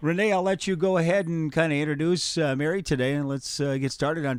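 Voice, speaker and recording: Speaking at a very fast pace in a Dakotas accent, a man has a fairly high pitch. His pitch varies in an ordinary way. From the Dakotas. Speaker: radio show host. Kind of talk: casual chat.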